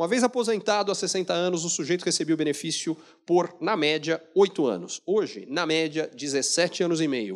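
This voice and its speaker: A man with fairly high pitch speaks in an animated tone, with vocal fry. The background is quiet. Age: 40s. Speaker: economist speaker; keynote speaker. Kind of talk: keynote lecture. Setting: stage with audience. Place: hall. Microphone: handheld.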